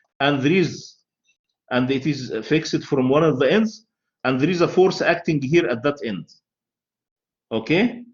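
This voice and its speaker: With an Arabic accent, a man speaks at a fairly high pitch with lively intonation in a somewhat breathy voice. His pace is fairly slow, with long, frequent pauses. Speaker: university lecturer. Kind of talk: lecture.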